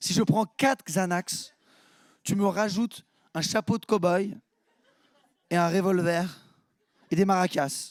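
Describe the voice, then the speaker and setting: A man is speaking. His voice is high in pitch. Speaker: stand-up comedian. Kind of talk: stand-up. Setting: stage with audience.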